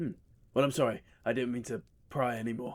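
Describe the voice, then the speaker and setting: A man uses a raspy, put-on character voice at medium pitch. He talks at a very fast pace. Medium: actual play. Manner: polite, hesitant.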